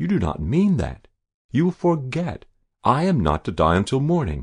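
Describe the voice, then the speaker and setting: Against a quiet background, a man puts on a character voice at medium pitch, moving at a moderate pace with very wide pitch swings. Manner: desperate, nearly inarticulate.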